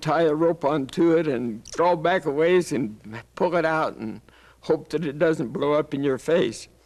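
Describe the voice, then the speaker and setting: Against a quiet background, a man with a fairly high pitch speaks in a Western US accent. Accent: American Western. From Arizona, USA. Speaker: WWII veteran, combat engineer. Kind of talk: interview answer.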